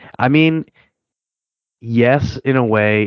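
Male voice with a slight Midwestern accent and ordinary pitch variation. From Cleveland area, Ohio. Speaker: fantasy football podcaster. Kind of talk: casual chat.

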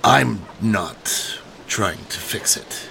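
A man puts on a raspy character voice. Clear background noise runs behind him. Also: fairly low pitch for a man. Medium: actual play. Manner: hesitant, evasive.

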